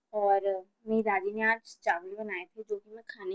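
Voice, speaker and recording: A woman speaks at a moderate pace with a fairly high pitch and ordinary pitch variation. The sound is dry and close, with no echo. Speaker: vlogger. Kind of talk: casual vlog talk. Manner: loud.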